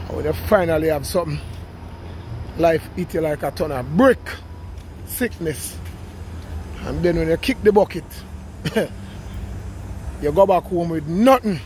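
Male speech at a moderate pace with long, frequent pauses, dry sound with no echo and light background noise. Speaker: vlogger walking. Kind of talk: casual vlog chat, life advice. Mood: relaxed, philosophical, laughing. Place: street. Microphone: phone near.

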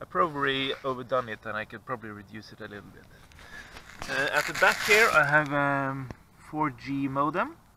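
A man talks at a moderate pace with noticeable background noise. The sound is dry with no echo. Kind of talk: tutorial. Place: open country. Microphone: phone near.

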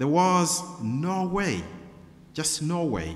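There is light background noise as a man talks in an animated tone. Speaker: preacher. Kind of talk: sermon. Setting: church. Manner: earnest, animated, rhetorical questions, storytelling; formal, pastoral. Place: church. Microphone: podium.

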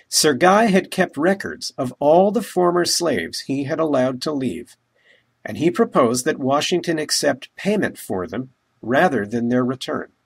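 A man with an American accent speaks at a moderate pace. His pitch is fairly high and swings very widely. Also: very clean recording, silent background. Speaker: local history educator. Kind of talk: scripted narration. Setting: outdoors.

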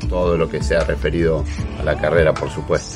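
The delivery is fairly slow, with clear music in the background. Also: man. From Argentina. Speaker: national broadcaster and radio host, sports. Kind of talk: casual talk to camera, self-introduction. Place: home room. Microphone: webcam.

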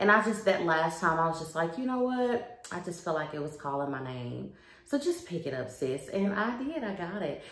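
At a moderate pace with hardly any pauses, a woman talks at a fairly low pitch amid audible room echo. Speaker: home decor vlogger. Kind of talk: casual vlog chat. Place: home room. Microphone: phone near.

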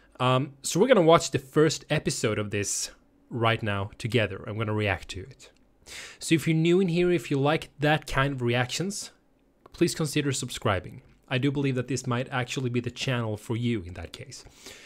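Male speaker with lively intonation and big swings in loudness, moderate pace, quiet background. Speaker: reaction channel host. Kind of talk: casual vlog chat. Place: home room. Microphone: studio mic.

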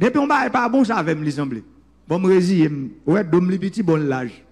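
Amid noticeable background noise, a man talks at a fairly slow pace in a high voice, with very wide pitch swings and long, frequent pauses. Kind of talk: political speech.

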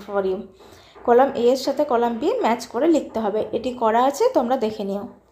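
A woman's fairly high voice has a dark, mellow tone and ordinary pitch variation. Audible room echo surrounds her. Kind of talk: lecture.

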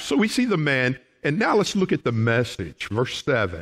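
A man with a Southern US accent and very wide pitch swings, against a quiet background. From Oklahoma. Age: 60s. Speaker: pastor. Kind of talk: sermon. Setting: church. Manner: folksy. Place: church.

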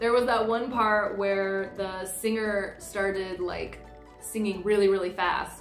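With faint music in the background and audible room echo, a woman with an American accent speaks at a fairly slow pace in monotone, flat intonation. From United States. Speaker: comedian. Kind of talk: casual talk to camera. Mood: amused, enthusiastic. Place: home room.

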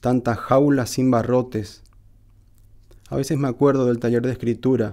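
A man speaks with a northeastern Argentine accent in a dark, mellow tone. His pace is fairly slow, and the background is quiet. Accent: northeastern Argentine Spanish (Corrientes). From Argentina, Corrientes. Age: 50s. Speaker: poet. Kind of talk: reading aloud; personal account. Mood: calm, reflective. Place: studio. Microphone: studio mic.

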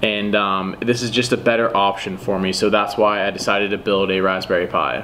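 A man with a fairly low pitch speaks at a fairly quick pace, with hardly any pauses. His intonation is monotone and flat over light background noise. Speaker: car hobbyist vlogger. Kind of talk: casual vlog chat. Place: home room. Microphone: camera far.

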